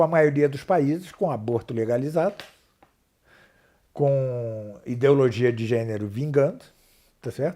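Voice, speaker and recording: The recording is very clean and the background silent. A man's voice sits fairly high in pitch. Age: 60s. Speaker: professor of philosophy and theology. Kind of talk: interview. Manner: halting.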